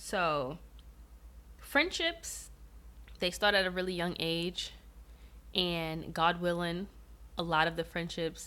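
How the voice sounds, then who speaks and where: Vocal fry from a woman with an American accent, fairly low in pitch, at a fairly slow pace. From New York City. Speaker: podcast host. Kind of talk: casual monologue.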